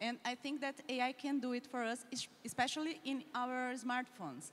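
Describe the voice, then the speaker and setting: A woman's high-pitched voice, fairly even in intonation, at a moderate pace. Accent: Portuguese. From Brazil. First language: Portuguese. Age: young. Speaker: young leader panelist. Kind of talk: panel discussion.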